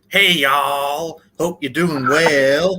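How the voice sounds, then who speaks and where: A put-on character voice, raspy and pitched low-to-middle, is delivered in an American accent. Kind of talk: friendly, casual. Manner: cheerful.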